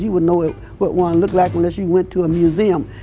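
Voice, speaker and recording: The speaker has a Southern US accent. Noticeable background noise runs under the voice. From Alabama, then West Palm Beach, Florida from age eight. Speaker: community elder interviewed for oral history. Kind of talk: oral history interview. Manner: halting, frequent repetitions.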